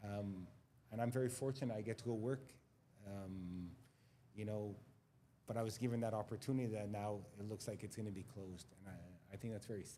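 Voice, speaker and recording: Speaking with a Montreal accent, a man with a fairly low pitch and a dark, mellow tone moves at a fairly quick pace, with fairly even intonation and long, frequent pauses. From Quebec, Montreal. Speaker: school administrator. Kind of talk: panel discussion. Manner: halting, many repetitions.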